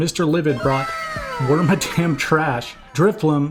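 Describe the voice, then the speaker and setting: With music in the background, a man speaks at a moderate pace in a fairly high pitch, with fairly even intonation. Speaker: Pokémon Go PvP shoutcaster. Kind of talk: esports-style match commentary, game analysis.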